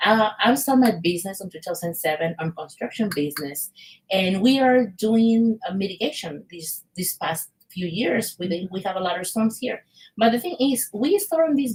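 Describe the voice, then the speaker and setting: With music in the background, a woman with a Mexican accent talks at a moderate pace in a medium pitch, showing lively intonation and big swings in loudness. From Mexico, Guanajuato. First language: Spanish. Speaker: business owner. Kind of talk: interview. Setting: studio.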